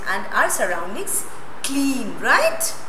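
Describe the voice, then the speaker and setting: A woman's raised, projected voice at a very slow pace, over noticeable background noise. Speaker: school teacher. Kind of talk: lecture. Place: classroom. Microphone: lapel.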